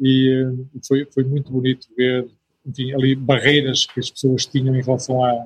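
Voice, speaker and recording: A man speaks with a European Portuguese accent at a moderate pace. His voice is somewhat breathy and medium in pitch. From northern Portugal. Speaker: missionary. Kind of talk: interview.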